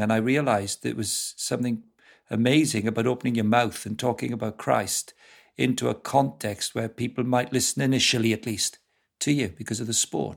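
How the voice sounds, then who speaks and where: Vocal fry runs through this fairly quick delivery with ordinary pitch variation. The recording is very clean, with a silent background. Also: man. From South Wales. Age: 50s. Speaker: football club director and evangelist. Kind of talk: casual interview.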